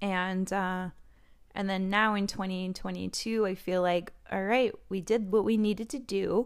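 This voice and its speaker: In a normal speaking voice, a woman talks at a moderate pace with fairly even intonation. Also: medium pitch for a woman. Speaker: oracle card reader and skincare podcaster. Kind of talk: solo oracle card reading, casual talk to audience. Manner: casual, chatty, laughs often.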